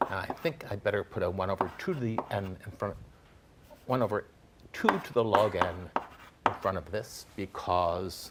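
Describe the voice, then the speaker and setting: A man speaks at a moderate pace in a fairly low voice with ordinary pitch variation, pausing long and often over noticeable background noise. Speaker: lecturer. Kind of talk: lecture.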